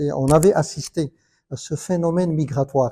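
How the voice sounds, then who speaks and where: On a very clean recording with a silent background, a man with a fairly high pitch and a dark, mellow, somewhat breathy tone speaks at a fairly slow pace with ordinary pitch variation. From Morocco, Casablanca. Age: 60s. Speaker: conference panelist. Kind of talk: panel discussion. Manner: halting.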